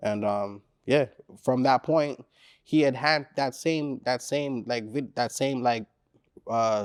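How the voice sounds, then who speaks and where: Speaking at a very slow pace with long, frequent pauses, a man with a Caribbean accent is heard on a very clean recording with a silent background. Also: medium pitch for a man, ordinary pitch variation. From Caribbean descent. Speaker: rapper. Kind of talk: interview. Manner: casual, filler-heavy.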